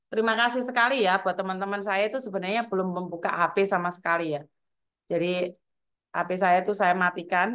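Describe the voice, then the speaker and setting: Against a quiet background, a woman talks at a very fast pace with ordinary pitch variation. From Java, Indonesia. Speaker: live streamer, migrant worker community host. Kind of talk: casual live stream chat. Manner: loud; animated. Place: home room. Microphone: lapel.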